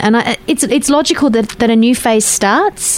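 A fairly high-pitched woman with an Australian accent, against noticeable background noise. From Western Australia. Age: 40s. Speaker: radio host. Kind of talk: casual chat. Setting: studio.

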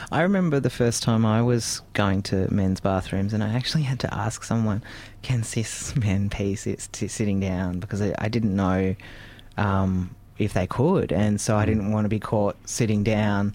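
Moderate pace in an Australian accent, with fairly even intonation and very even loudness. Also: man, fairly low pitch for a man. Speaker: radio host. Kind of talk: casual interview chat.

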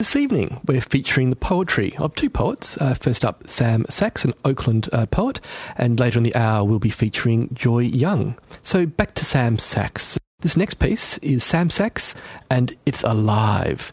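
With an unremarkable speaking voice, a man of medium pitch speaks at a fairly slow pace using lively intonation. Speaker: radio show host. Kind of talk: radio presenter introductions.

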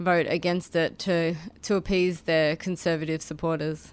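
A woman with a fairly low pitch and an Australian accent, her intonation fairly even, on a very clean recording with a silent background. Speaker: activist. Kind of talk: radio interview, casual chat. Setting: studio.

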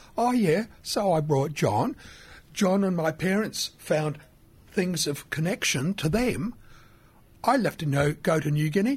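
A man in an Australian accent speaks at a high pitch with lively intonation, very even loudness and a fairly slow pace broken by long, frequent pauses, all on a very clean recording with a silent background. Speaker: radio presenter. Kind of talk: casual chat. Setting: studio.

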